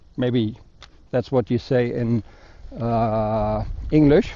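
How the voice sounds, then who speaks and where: A man with a German accent at a very slow pace. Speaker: motorcycle vlogger. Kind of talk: motovlog review. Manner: hesitant, many fillers.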